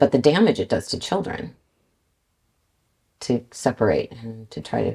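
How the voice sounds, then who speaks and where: A woman with a very deep, low pitch and a dark, mellow tone speaks fairly slowly with vocal fry. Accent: Canadian. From Canada, Vancouver BC. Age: 60s. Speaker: car salesperson. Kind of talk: casual interview.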